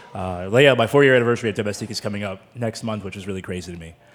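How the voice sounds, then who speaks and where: A man talks at a fairly low pitch with ordinary pitch variation. Music plays in the background. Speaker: sommelier. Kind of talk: casual chat. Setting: studio.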